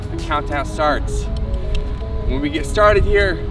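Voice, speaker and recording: Loud music plays in the background while a man talks at a moderate pace. His voice sounds dry, with no echo. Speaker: fitness instructor. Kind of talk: workout follow-along instruction. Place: street.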